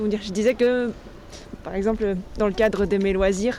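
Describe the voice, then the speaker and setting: A woman talks at a medium pitch and moderate pace. Her intonation is fairly even, with noticeable background noise. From western France, Angers. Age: 30s. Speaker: blind resident interviewed on accessibility. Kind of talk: interview. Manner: hesitant, many fillers and restarts.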